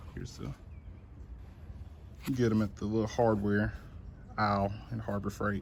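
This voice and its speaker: At a moderate pace, a man with a fairly low pitch and ordinary pitch variation speaks with long, frequent pauses. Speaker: DIY YouTuber. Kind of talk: tutorial. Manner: casual, halting.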